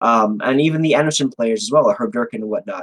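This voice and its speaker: In an American accent, a man talks in an animated tone with lively intonation. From New York City (Manhattan). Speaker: fighting game tournament organizer. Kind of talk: interview. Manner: loud.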